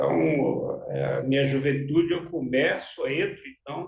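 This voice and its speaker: A man talks at a fairly slow pace. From Brazil, Belém do Pará (northern Brazil). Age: 60s. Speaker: social educator, activist. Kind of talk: interview. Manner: halting, many fillers.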